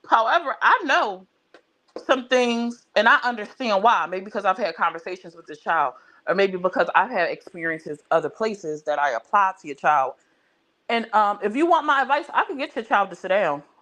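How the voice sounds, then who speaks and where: Over background music, a woman at medium pitch speaks at a moderate pace with very wide pitch swings and big swings in loudness. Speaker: live stream host. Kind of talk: casual chat.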